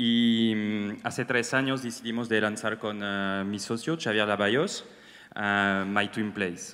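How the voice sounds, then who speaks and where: A fairly slow, fairly even-toned man's voice, fairly low in pitch, with a French accent. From France. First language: French (speaking Spanish). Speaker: startup co-founder. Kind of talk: panel talk. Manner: hesitant.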